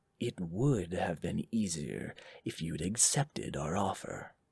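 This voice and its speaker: Putting on a character voice, a man uses a very deep, low pitch, raspy and hissing, with lively intonation at a fairly slow pace. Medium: read story. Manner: hissing, menacing.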